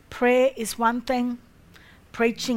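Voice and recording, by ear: A woman's fairly high, fairly bright voice at a slow pace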